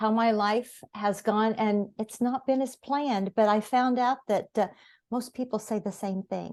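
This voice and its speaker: In an American accent, a woman speaks fairly slowly with fairly even intonation and a fairly high pitch. The sound is dry and close with no echo, over a quiet background. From US Midwest, Noblesville, Indiana. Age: 60s. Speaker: author. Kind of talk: interview.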